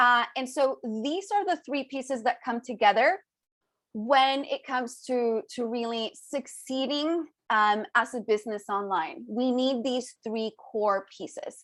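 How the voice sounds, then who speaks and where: The intonation is lively, with a quiet background. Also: woman, high pitch for a woman. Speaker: business coach. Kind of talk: webinar training. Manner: fast.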